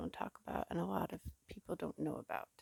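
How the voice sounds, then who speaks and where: A woman's whisper, dry and close with no echo. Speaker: vlogger. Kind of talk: personal vlog. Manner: quiet, low voice; halting, many fillers.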